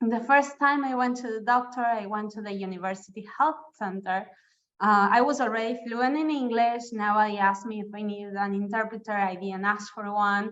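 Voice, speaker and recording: A woman at a fairly high pitch, with ordinary pitch variation. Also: moderate pace. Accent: Spanish. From Argentina. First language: Spanish. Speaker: webinar presenter. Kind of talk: presentation.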